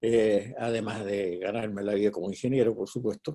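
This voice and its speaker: At a fairly slow pace, a man speaks with a dark, mellow tone. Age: 70s. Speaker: bible teacher. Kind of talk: lecture.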